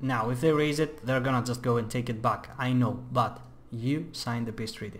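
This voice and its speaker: In a room with audible room echo, a man with a non-native accent talks at a moderate pace, his medium-pitched, somewhat breathy voice kept to fairly even intonation. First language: not English. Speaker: gaming youtuber. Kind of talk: gameplay tutorial commentary. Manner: casual, with many fillers.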